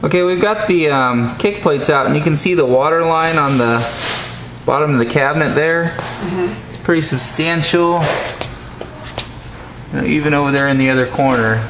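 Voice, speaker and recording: Through noticeable background noise, a man speaks at a moderate pace with ordinary pitch variation and long, frequent pauses. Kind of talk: walkthrough commentary. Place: home room. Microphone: phone near.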